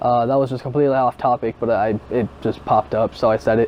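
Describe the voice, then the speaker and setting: In a medium pitch, a man speaks with monotone, flat intonation. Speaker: gaming youtuber. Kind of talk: casual vlog commentary. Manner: calm; stuttering, halting.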